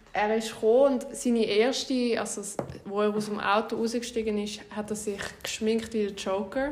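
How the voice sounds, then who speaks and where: Noticeable background noise and audible room echo surround a woman speaking at a moderate pace in a fairly high, monotone, flat voice. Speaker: podcast host. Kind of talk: casual chat.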